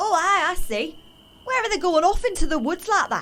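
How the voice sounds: A woman performs a put-on character voice at an extremely high pitch, bright and sharp in tone. Her pitch swings widely as she keeps a moderate pace.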